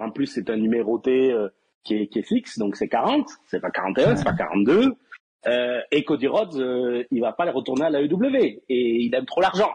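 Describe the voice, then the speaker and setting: The speaker has a normal speaking voice and a moderate pace. The intonation is lively. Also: man. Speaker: wrestling fan guest. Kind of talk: casual chat. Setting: voice chat call.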